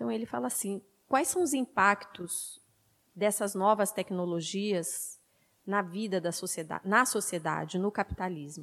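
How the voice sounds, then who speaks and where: Using a normal speaking voice, a woman talks at a fairly slow pace and medium pitch, with ordinary pitch variation. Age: 40s. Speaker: media activist, panelist. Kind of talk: panel talk.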